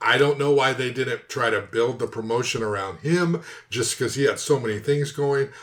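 A man with an American accent talks at a fairly quick pace in a medium pitch, using a plain, everyday voice with ordinary pitch variation. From Southern California. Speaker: MMA podcast co-host. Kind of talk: casual chat.

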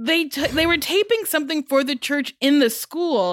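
Recorded very cleanly against a silent background, with a dry, close sound and no echo, a woman speaks in a high voice. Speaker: podcast co-host. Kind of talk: casual chat.

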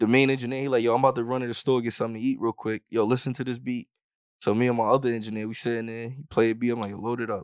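Speaking at a very fast pace in a monotone, flat intonation, a man with a medium pitch is heard in a very clean recording with a silent background. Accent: New York. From Yonkers, New York. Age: 20s. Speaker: hip hop artist. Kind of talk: casual chat.

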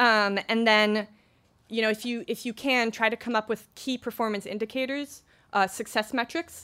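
A woman with an ordinary speaking voice talks at a fairly quick pace in a fairly high pitch. The recording is very clean, with a silent background. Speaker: podcast marketing manager. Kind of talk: conference talk. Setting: stage with audience. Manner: casual, filler-heavy.

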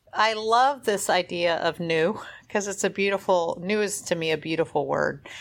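In a very clean recording with a silent background, a woman with an unremarkable speaking voice speaks at a moderate pace, her pitch medium, its variation ordinary and her loudness very even. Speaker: podcast co-host, endurance cyclist. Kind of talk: casual chat.

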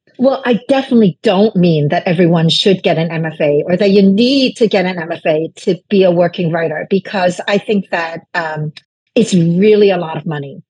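A woman with a Chinese accent speaks in a dark, mellow, somewhat breathy tone at a moderate pace with hardly any pauses. The sound is dry and close, with no echo. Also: medium pitch for a woman, ordinary pitch variation. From Brooklyn, New York (immigrant from China). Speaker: novelist. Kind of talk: interview.

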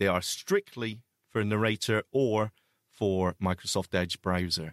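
A man with a fairly low pitch speaks at a fairly slow pace in a very clean recording with a silent background and a dry, close sound with no echo. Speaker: accessible technology show co-host. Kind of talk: casual chat.

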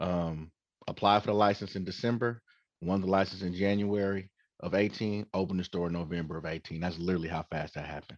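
A man speaks at a very fast pace with an American accent and fairly even intonation, his pitch very deep and low. The sound is dry and close with no echo, against a quiet background. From Oakland, California. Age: 40s. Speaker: dispensary owner. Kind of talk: casual interview.

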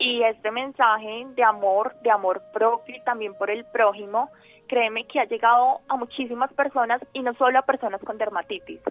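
A woman with an unremarkable speaking voice and a fairly high pitch talks at a moderate pace with fairly even intonation. Her loudness swings widely. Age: 20s. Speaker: student sharing her illness story. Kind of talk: radio interview, personal testimony.

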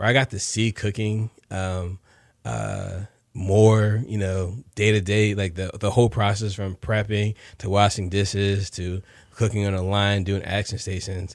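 On a very clean recording with a silent background, a man with an American accent speaks at a moderate pace and fairly low pitch with monotone, flat intonation. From New Jersey. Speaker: chef and food truck owner. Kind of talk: interview.

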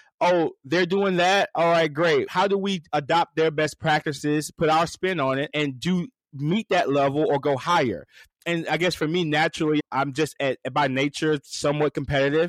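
An ordinary speaking voice from a man with an American accent, fairly high in pitch, fairly even in intonation and very even in loudness, at a moderate pace, in a dry, close sound with no echo against a quiet background. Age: 30s. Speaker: fast-food restaurant executive. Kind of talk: interview.

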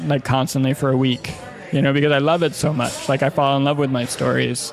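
With an American accent, a man talks at a fairly quick pace and medium pitch in fairly even intonation, amid noticeable background noise and audible room echo. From US Midwest, Chicago. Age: 40s. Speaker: journalist and podcaster. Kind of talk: casual interview conversation.

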